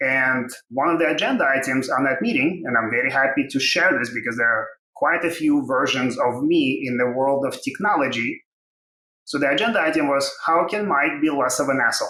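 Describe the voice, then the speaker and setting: This man speaks with a Russian accent at a fairly quick pace. His pitch varies in an ordinary way, and his loudness stays very even. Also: fairly high pitch for a man. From Ukraine. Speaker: tech company co-founder and CTO. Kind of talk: interview.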